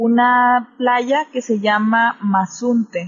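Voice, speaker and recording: Her intonation is fairly even. The voice belongs to a woman. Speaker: podcaster. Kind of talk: casual chat.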